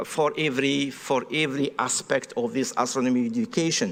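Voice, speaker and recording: A man with a French accent speaks over noticeable background noise. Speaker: astronomy professor and research director. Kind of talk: panel presentation. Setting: round table at an expo pavilion with audience. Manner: halting, many fillers.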